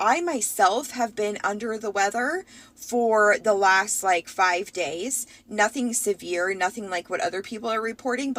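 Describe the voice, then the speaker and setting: In a put-on character voice, a woman speaks at a moderate pace with a raspy, medium-pitched sound. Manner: tired, low-energy.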